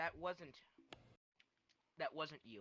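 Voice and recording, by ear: A man's put-on character voice, raspy and fairly high in pitch.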